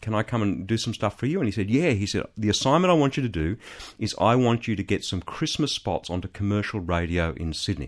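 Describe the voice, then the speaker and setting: Very fast man's voice in an Australian accent, on a very clean recording with a silent background. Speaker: ministry CEO and former businessman. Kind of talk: interview testimony. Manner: hesitant with fillers.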